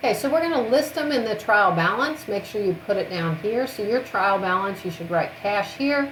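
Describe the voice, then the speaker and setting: At a moderate pace and with hardly any pauses, a woman of medium pitch talks with lively intonation amid noticeable background noise and audible room echo. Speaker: accounting instructor. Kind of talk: recorded lecture.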